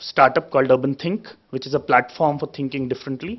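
The background is quiet as a man talks with fairly even intonation. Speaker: speaker. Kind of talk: panel talk. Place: hall. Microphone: podium.

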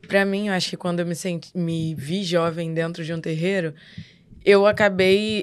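Against a quiet background, a woman speaks in a fairly low voice with fairly even intonation. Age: 20s. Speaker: Umbanda medium. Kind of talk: casual podcast discussion on religion. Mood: relaxed, reflective. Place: studio. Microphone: studio mic.

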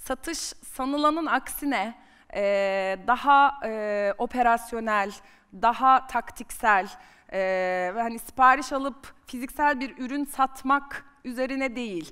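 Against a quiet background, the voice has a bright, sharp tone, moves very slowly, varies pitch in an ordinary way and swings widely in loudness. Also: woman, high pitch for a woman. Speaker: marketing executive; guest, sales executive. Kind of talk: personal career story on stage. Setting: conference stage with audience. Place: stage. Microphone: headset.

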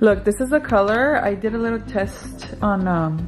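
Clear music plays behind a woman with a medium-pitched voice. She speaks at a moderate pace with lively intonation.

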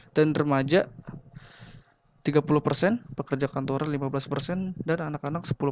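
A man's fairly high voice at a moderate pace, fairly even in intonation, with a dry sound with no echo and a quiet background. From Indonesia. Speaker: university student presenting a business idea; presenter. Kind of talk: business pitch presentation. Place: home room. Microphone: webcam.

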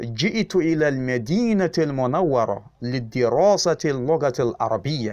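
A man with a medium-pitched, ordinary speaking voice and lively intonation. The recording is very clean, with a silent background. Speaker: Arabic teacher. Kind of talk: tutorial. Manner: slow, repetitive drilling.

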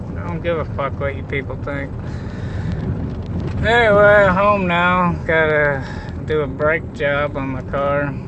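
Fairly slow speech with long, frequent pauses, noticeable background noise, and a dry sound with no echo. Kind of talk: casual vlog chat. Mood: irritated, offhand. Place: car. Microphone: phone near.

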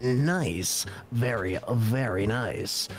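A man's put-on character voice at medium pitch, with clear background noise. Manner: pleased, approving.

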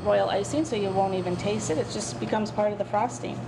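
Noticeable noise fills the background. Through it, a woman talks. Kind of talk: interview answer. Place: kitchen. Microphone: handheld.

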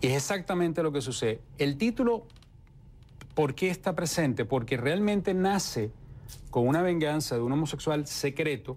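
Lively intonation fills this man's moderate-paced speech. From Venezuela, Puerto Ordaz; Venezuela. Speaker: novelist; interviewee. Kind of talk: interview. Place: studio. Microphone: lapel.

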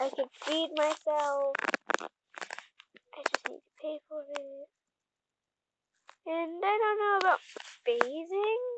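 Very slow pace with long, frequent pauses and big swings in loudness, in a dry, close sound with no echo. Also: woman, extremely high pitch for a woman, lively intonation. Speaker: gaming video creator. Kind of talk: gameplay commentary.

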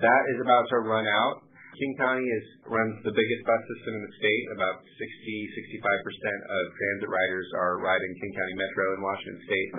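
At a fairly quick pace, a man with fairly low pitch and fairly even intonation uses a normal speaking voice over light background noise. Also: hardly any pauses. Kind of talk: call-in answer on policy. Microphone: phone line.

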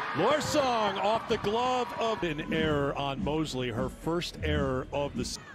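Over noticeable background noise, a man talks at a fairly slow pace with hardly any pauses. His fairly high pitch makes very wide swings. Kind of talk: live commentary.

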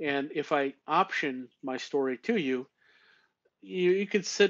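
A man's fairly high pitch with ordinary pitch variation. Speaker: painter, illustrator and author. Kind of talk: casual interview.

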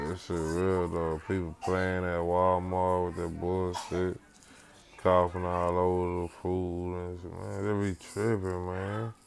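A man speaks at a very slow pace with a very deep, low pitch and monotone, flat intonation. Light background noise is present. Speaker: vlogger. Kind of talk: casual vlog talk. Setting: in a car. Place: home room. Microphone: earbuds.

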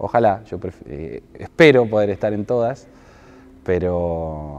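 A man's voice with ordinary pitch variation, dry sound with no echo, and light background noise. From Buenos Aires province, Argentina. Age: 30s. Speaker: mayoral candidate; candidate. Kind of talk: interview. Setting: indoor basketball stadium. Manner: halting, frequent repetitions. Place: gym. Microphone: lapel.

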